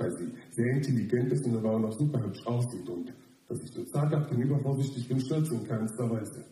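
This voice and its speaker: A man talks at a very fast pace with a dark, mellow tone. His voice is somewhat breathy, and the pitch varies in an ordinary way. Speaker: slam poet. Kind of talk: poetry slam performance, a spoken-word text. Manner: animated, self-mocking, wry and ironic delivery.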